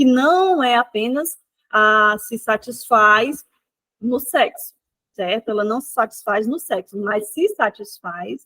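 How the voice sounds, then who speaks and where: A woman speaks at a very slow pace with lively intonation and a bright, sharp tone. The sound is dry and close, with no echo. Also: fairly high pitch for a woman. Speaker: psychoanalysis teacher. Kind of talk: online lecture.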